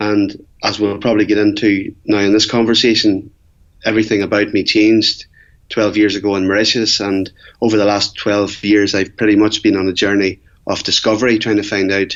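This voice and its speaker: A man with an Irish accent, fairly low-pitched, in a flat monotone at a fairly quick pace. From Ireland. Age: 40s. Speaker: Ironman athlete and entrepreneur. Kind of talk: interview.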